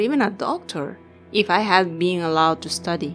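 A fairly low-pitched woman's voice over music in the background. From Peru. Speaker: writer. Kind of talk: personal digital story narration.

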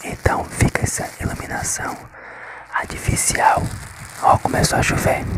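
The speech moves at a fairly slow pace with long, frequent pauses. Loud background noise runs underneath. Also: man. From northeast Brazil. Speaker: ASMR content creator. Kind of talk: whisper ASMR with tapping triggers. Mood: resigned, slightly frustrated. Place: home room. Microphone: phone near.

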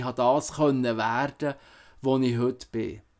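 Against a quiet background, a man talks at a moderate pace in a fairly high pitch with fairly even intonation. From Switzerland, Emmental (Canton Bern); Canton Bern, Switzerland. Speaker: musician and political candidate. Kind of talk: campaign statement. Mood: earnest, persuasive. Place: home room. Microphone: webcam.

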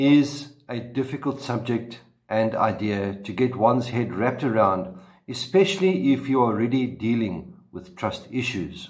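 A man speaks at a fairly slow pace, his voice somewhat breathy. The background is quiet. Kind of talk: sermon. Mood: calm, gentle encouragement. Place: home room. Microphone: webcam.

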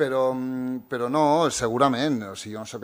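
Fairly slow, fairly even-toned speech from a man. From Catalonia (born in Morocco, arrived as a baby). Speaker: writer and youth centre director; speaker. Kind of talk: panel discussion. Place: hall. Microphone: podium.

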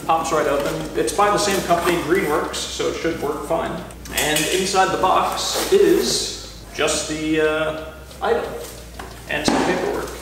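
A man speaks at a fairly slow pace amid noticeable background noise and strong room echo. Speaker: product reviewer. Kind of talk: casual product review chat. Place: garage.

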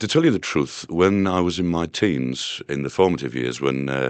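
A man with a Yorkshire accent talks at a fairly quick pace and a very deep, low pitch, with ordinary pitch variation, in a dry sound with no echo over a quiet background. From northern England. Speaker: singer-songwriter. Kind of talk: interview answer. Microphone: old recording.

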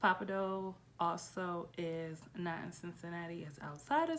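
A woman speaks at a very slow pace. There is light background noise. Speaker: travel vlogger. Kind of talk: casual vlog chat. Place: home room. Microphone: phone near.

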